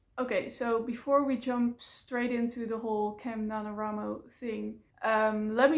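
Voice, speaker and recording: A woman with a Dutch accent and a fairly high pitch. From Netherlands. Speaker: vlogger. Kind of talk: casual vlog talk to camera. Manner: hesitant, many fillers.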